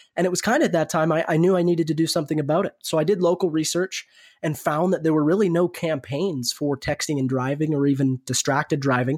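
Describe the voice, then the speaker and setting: Speaking at a very fast pace with fairly high pitch, a man with a western Canadian accent comes through in a dry, close sound with no echo on a very clean recording with a silent background. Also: ordinary pitch variation, hardly any pauses. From Canada, Alberta (Red Deer). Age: 20s. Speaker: racing driver. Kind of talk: interview. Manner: articulate.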